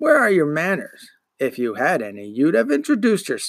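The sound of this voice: Putting on a gruff character voice, a man talks at a fairly quick pace in a fairly high pitch with very wide pitch swings.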